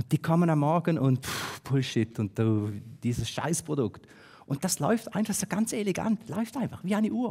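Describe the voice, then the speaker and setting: A man with a fairly high voice and a dark, mellow tone talks at a moderate pace, his pitch swinging very widely. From Switzerland, St. Gallen; Switzerland. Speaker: business consultant, speaker; conference speaker. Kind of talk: talk to an audience. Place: hall. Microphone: headset.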